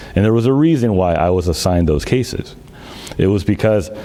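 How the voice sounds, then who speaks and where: Lively intonation from a fairly low-pitched man, with noticeable background noise. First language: Greek. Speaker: city manager candidate, former auditor. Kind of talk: public statement at council meeting. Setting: teleconference.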